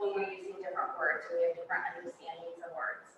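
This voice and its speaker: Her voice carries audible room echo. The speaker is a woman. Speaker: school district administrator. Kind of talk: presentation. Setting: board meeting with audience. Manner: loud.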